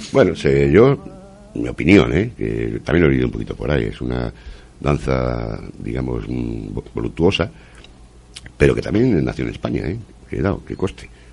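Very deep, low-pitched male voice with long, frequent pauses and noticeable background noise. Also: moderate pace. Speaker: community radio host. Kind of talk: casual radio chat.

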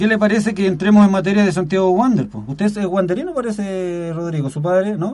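A man with a Chilean accent talks very fast, with hardly any pauses. His pitch is high, with ordinary variation. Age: 50s. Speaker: community radio sports host. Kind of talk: radio sports show. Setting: radio studio.

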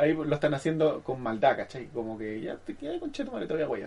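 A man with a Chilean accent at a moderate pace. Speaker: podcast co-host. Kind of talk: casual chat.

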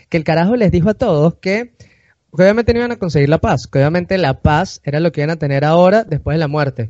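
In a Venezuelan accent, a man speaks at a very fast pace in a high pitch, his tone animated and hardly any pauses between words. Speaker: podcast host. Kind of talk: casual chat.

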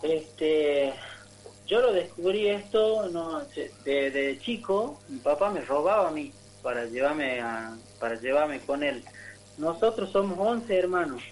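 A man at a fairly high pitch and very slow pace, with very wide pitch swings. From northern Argentina (Tartagal, Salta). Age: 20s. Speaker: musician and soldier. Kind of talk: radio interview. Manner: halting.

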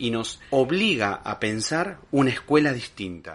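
A man speaks very slowly at a medium pitch, his tone bright and sharp and his intonation lively. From Argentina, Lomas de Zamora (Buenos Aires province). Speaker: podcast host. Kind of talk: monologue commentary.

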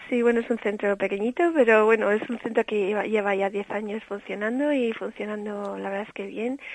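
A woman talks at a fairly quick pace and a fairly high pitch. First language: bilingual English and Spanish (speaking Spanish). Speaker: early childhood education specialist. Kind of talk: interview.

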